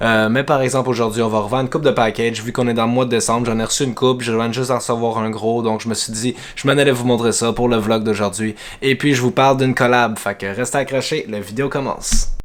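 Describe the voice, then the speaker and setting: With a Quebec accent, the speaker talks at a very fast pace in fairly even intonation, with noticeable background noise behind. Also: man, medium pitch for a man. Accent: Québécois French. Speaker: vlogger, amateur filmmaker. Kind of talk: casual vlog. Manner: hesitant, many fillers.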